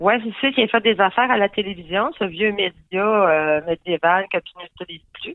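A woman has an unremarkable speaking voice of medium pitch with ordinary pitch variation. She keeps a moderate pace, her loudness swinging widely. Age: 40s. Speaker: comedian. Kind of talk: casual chat.

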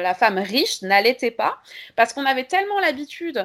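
A woman speaks at a moderate pace and high pitch on a very clean recording with a silent background. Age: 30s. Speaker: history and geography teacher, feminist activist. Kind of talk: interview.

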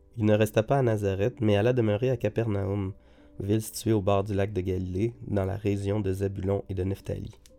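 Over background music, a man speaks at a moderate pace in a fairly low pitch. His intonation stays flat and monotone. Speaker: Bible reader. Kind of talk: reading aloud. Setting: studio.

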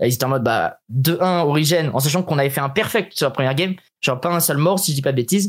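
In a very clean recording with a silent background, a man speaks with a fairly high pitch, very even loudness and ordinary pitch variation. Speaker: streamer and former esports player. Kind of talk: casual interview. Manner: fast, sometimes stumbling.

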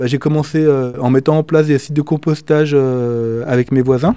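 This man has a dark, mellow tone and fairly high pitch. His intonation stays fairly even. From France, Lyon area. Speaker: club treasurer and volunteer. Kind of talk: interview.

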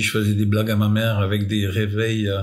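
There is audible room echo around this man's voice. He speaks fairly slowly at a fairly low pitch. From France. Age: 60s. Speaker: electrician. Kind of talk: casual chat. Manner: halting.

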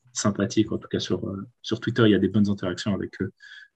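This man's voice sits fairly low. It is somewhat breathy. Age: 20s. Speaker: sports fan guest. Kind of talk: casual chat.

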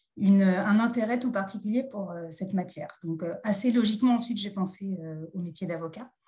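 Her voice is somewhat breathy, with a dark, mellow tone, medium pitch for a woman, fairly even intonation and a moderate pace. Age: 40s. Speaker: judge and magistrate trainer. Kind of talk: interview. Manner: hesitant, many fillers.

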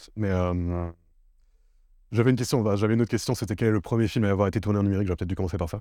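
A man speaks very fast in a fairly low voice with fairly even intonation and long, frequent pauses, on a very clean recording with a silent background. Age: 20s. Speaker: podcast host, videographer. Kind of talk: casual chat. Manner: halting.

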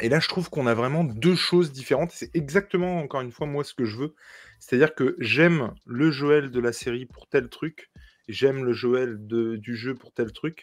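At a moderate pace, a man with a regional French accent speaks at medium pitch, with ordinary pitch variation and big swings in loudness. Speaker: podcast co-host. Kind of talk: casual chat.

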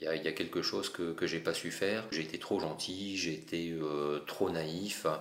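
With hardly any pauses, a man speaks in a very deep, low voice with fairly even intonation and audible room echo. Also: moderate pace. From France, Paris region (Essonne). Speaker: mosaic artist. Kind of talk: interview.

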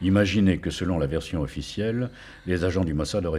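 A man races along at a very fast pace with ordinary pitch variation, noticeable noise in the background. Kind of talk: true-crime narration, gripping storytelling of a assassination. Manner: measured, suspenseful, building tension with short clipped sentences.

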